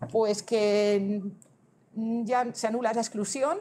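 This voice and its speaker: Her pitch is fairly high for this woman, with ordinary pitch variation. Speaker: government transport official presenting regulations; presenter. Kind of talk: conference presentation. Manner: fast; halting, many self-corrections. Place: hall.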